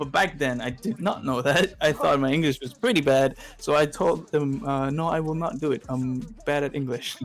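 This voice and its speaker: Through noticeable background noise, a man with a slight Quebec accent and a fairly high voice talks at a moderate pace with ordinary pitch variation. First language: Spanish. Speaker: streamer and content creator. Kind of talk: casual podcast chat. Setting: live stream. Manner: halting, searching for words.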